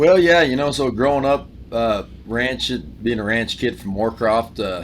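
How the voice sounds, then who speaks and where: Speaking fairly slowly, a man with a slight Appalachian accent uses a medium pitch and ordinary pitch variation. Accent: Appalachian-sounding country accent, slight. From Wyoming. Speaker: country singer-songwriter. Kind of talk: casual interview chat.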